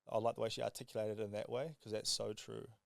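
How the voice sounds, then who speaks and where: At a very fast pace, a man talks in a medium pitch. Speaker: podcast guest, entrepreneur. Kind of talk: casual podcast chat. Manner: mumbling.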